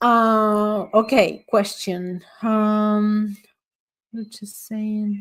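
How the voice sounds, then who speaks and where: A woman's fairly high, monotone voice with flat intonation, a very slow pace and a non-native accent. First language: not English. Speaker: astrologer and summit speaker. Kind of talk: online talk with audience Q&A. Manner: halting.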